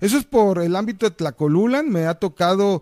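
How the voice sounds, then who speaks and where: In a very clean recording with a silent background and a dry, close sound with no echo, a man talks at a fairly slow pace with ordinary pitch variation. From Mexico, Veracruz. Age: 40s. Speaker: mayoral candidate and lawyer. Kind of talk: campaign interview. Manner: hesitant, many fillers.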